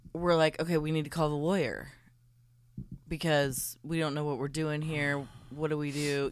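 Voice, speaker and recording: A woman talks at a moderate pace, her pitch very deep and low. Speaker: co-host guest, friend of host. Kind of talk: casual chat. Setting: studio.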